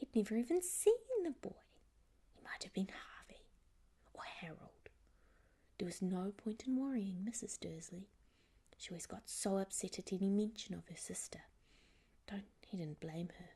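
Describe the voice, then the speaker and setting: The soft-spoken delivery keeps a moderate pace, broken by long, frequent pauses. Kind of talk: ASMR bedtime story reading; audiobook-style reading of a novel chapter.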